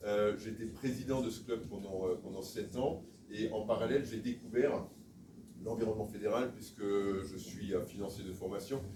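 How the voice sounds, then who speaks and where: Someone talks at a moderate pace with fairly even intonation, heard through audible room echo and noticeable background noise. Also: man, fairly low pitch for a man. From Alsace, France. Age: 60s. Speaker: sports federation official, election candidate. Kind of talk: campaign speech at meeting. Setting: meeting room with audience, filmed. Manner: hesitant, many filler sounds.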